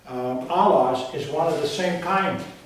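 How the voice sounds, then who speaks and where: Audible room echo and noticeable background noise surround a man whose fairly high voice shows ordinary pitch variation. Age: 70s. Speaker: Bible teacher. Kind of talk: Bible teaching. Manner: halting.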